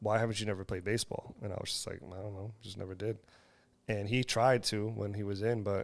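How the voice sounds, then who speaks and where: A man speaks with a Spanish accent at a fairly low pitch. His pace is fairly quick and his intonation fairly even. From US, Dominican household. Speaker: podcast co-host. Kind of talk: casual interview chat.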